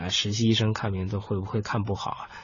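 A man talks fairly quickly while background noise stays clearly audible. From Beijing. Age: 30s. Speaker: doctor. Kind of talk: interview. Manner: halting.

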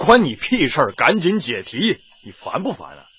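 A man puts on a character voice that is fairly high-pitched, bright and sharp in tone with a husky, rough edge, swinging very widely in pitch at a moderate pace.

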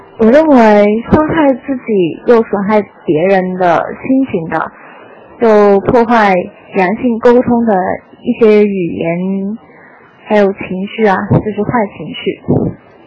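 Against noticeable background noise, a woman talks very slowly at a medium pitch with ordinary pitch variation. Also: long, frequent pauses. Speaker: listener sending voice message. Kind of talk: recorded listener message.

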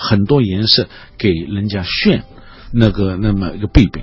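The speech is fairly slow and somewhat breathy. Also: man. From Shanghai, China. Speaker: art professor and painter. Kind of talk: radio interview. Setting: radio studio. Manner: halting with many filler sounds.

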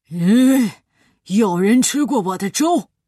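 A loud, put-on character voice at a fairly high pitch goes at a fairly slow pace over a quiet background. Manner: gruff, questioning.

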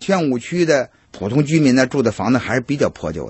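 The delivery is somewhat breathy, with lively intonation at a moderate pace. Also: man. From Beijing. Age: 50s. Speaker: hutong tour guide. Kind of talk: casual explanation.

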